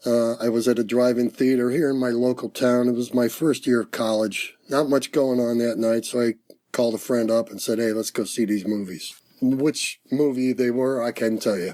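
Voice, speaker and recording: A normal speaking voice, moderate in rate, with fairly even intonation. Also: man, medium pitch for a man. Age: 60s. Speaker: retired UFO field investigator. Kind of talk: testimony.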